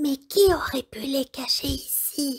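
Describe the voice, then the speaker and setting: A woman uses a put-on character voice, pitched high and moving at a fairly slow pace. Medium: read story.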